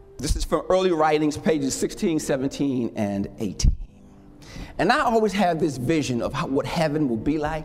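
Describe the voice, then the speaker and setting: An animated, warm tone and lively intonation come through over noticeable background noise. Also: man, fairly high pitch for a man. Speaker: preacher. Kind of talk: sermon. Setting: church with congregation. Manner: animated, call-and-response, impassioned; warm, slow, emphatic pulpit delivery.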